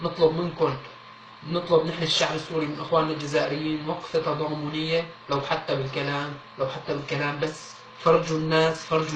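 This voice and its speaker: A man with a Syrian accent talks at a moderate pace in a fairly high pitch, amid noticeable background noise and audible room echo. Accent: Syrian Levantine Arabic. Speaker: appeal video speaker. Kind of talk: public appeal. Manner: earnest, pleading.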